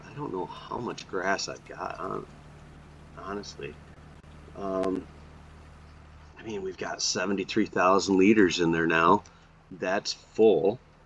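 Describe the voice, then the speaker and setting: A very deep, low male voice at a fairly slow pace, with fairly even intonation, big swings in loudness, long and frequent pauses, and noticeable background noise. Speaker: gaming YouTuber. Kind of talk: gameplay commentary.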